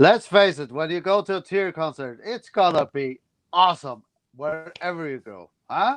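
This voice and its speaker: A man with a non-native accent and high pitch uses lively intonation in a dry, close sound with no echo over a quiet background. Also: moderate pace, big swings in loudness. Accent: noticeable non-native accent in English. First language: Faroese. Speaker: heavy metal musician. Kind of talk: live stream Q&A. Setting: live stream.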